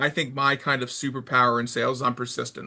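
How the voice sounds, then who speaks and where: A loud, bright, sharp male voice at a very fast pace against a quiet background. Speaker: sports sales director. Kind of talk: interview. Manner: energetic.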